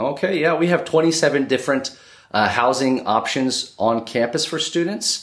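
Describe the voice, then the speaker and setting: With an American accent, the speaker goes at a fairly slow pace over noticeable background noise. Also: man, fairly high pitch for a man, ordinary pitch variation. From US (born in Brazil, moved at age two). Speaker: university admissions and recruitment manager. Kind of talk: interview. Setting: on location in Lagos, Nigeria.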